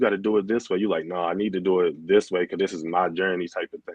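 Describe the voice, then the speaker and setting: At a fairly quick pace, a man with a fairly low voice speaks with a slight Baltimore accent. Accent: Baltimore accent, comes out only a little. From Baltimore, Maryland, US. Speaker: DJ and clothing brand owner. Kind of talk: casual interview chat. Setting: live stream.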